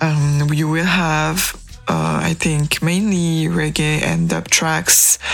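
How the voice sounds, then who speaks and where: A woman talks at a very slow pace with very even loudness. Noticeable background noise runs under her voice. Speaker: radio host. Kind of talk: radio DJ patter. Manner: warm, chatty, conversational; relaxed, casual, light humor.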